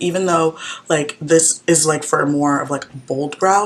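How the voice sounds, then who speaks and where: Against noticeable background noise, a woman speaks at a very deep, low pitch. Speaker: college student. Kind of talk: makeup tutorial talk to camera. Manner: casual, chatty.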